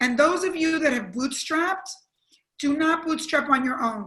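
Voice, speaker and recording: The woman's tone is bright and sharp. Her voice is raised and projected. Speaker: entrepreneur and former TV executive. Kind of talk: panel discussion. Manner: loud.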